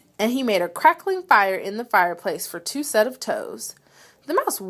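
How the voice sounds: Reading in a natural voice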